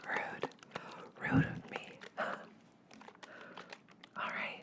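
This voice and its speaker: Amid noticeable background noise, a woman whispers at a very slow pace. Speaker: ASMR artist. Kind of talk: ASMR sleep roleplay. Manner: whispered.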